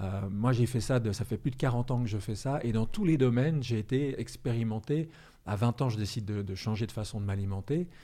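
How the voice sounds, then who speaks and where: A man speaks at a medium pitch and fairly quick pace, with ordinary pitch variation. His tone is dark and mellow, in a very clean recording with a silent background. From France or Switzerland. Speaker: author and trainer. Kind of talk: interview conversation.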